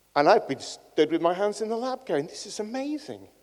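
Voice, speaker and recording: With a northern English accent, a man speaks at a moderate pace. His pitch swings very widely. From northern England. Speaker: cancer researcher and professor. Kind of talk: conference talk. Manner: animated.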